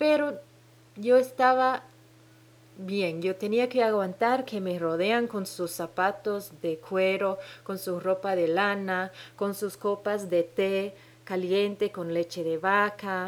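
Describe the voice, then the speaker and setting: A woman talks at a very slow pace. Her medium pitch shows ordinary variation. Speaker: podcast host. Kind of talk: solo podcast monologue. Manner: halting, many hesitations.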